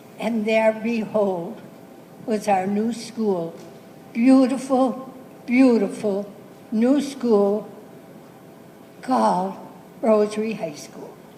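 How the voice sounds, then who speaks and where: Over noticeable background noise, a woman with a fairly high pitch and fairly even intonation speaks at a very slow pace, with long, frequent pauses and big swings in loudness. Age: 80s+. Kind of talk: speech to students about school memories.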